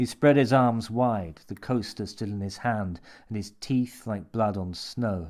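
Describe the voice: This is plain reading aloud, with ordinary pitch variation.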